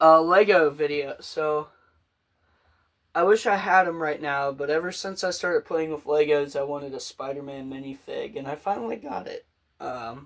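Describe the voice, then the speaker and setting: A man with an unremarkable speaking voice, fairly high pitch and ordinary pitch variation, at a moderate pace with big swings in loudness. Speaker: podcast host. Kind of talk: casual chat.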